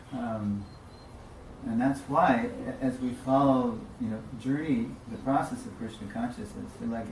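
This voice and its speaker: A man talks at a moderate pace with ordinary pitch variation. Audible room echo and noticeable background noise are present. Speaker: religious teacher. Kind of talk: religious class lecture.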